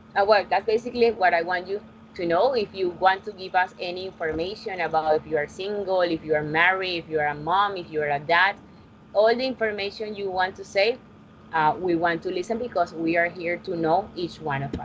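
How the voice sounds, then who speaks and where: A woman with a Colombian accent at a fairly quick pace. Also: medium pitch for a woman, ordinary pitch variation. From Colombia, Barranquilla. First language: Spanish. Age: 20s. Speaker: English teacher. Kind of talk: online class teaching. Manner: halting.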